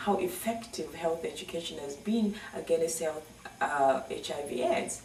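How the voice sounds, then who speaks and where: Noticeable background noise and audible room echo surround the voice. A woman speaks with lively intonation. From Zambia. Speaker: nurse and charity founder. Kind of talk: advocacy appeal to camera. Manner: earnest, emphatic.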